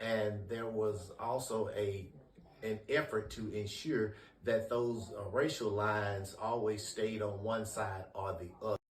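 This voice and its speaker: Intonation stays fairly even at a fairly slow pace. Room echo is audible. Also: man, fairly low pitch for a man. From US South, Memphis, Tennessee. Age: 60s. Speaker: interviewee recalling civil rights era. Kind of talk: oral history interview. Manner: measured, with frequent hesitations.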